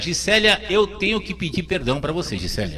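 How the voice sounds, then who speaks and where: With noticeable background noise, a man speaks in an animated tone at a fairly quick pace. His pitch variation is ordinary. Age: 60s. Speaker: radio host. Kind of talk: talk show. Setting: radio studio. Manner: halting.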